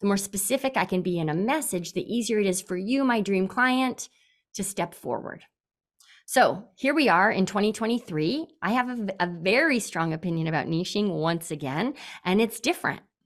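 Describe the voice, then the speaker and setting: A woman with an ordinary speaking voice talks at a medium pitch and a moderate pace, with lively intonation. The recording is very clean, with a silent background. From Canada, British Columbia. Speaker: business coach. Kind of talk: interview.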